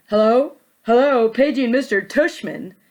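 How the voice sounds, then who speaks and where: A put-on character voice that sounds female, pitched high for a woman and delivered at a moderate pace. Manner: joking, comic.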